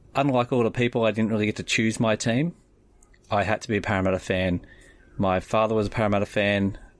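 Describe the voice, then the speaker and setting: Speech comes at a fairly quick pace with fairly even intonation, on a very clean recording with a silent background. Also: man, very even loudness. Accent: strong Australian. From Australia (Sydney area). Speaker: rugby league fan. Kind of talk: personal story.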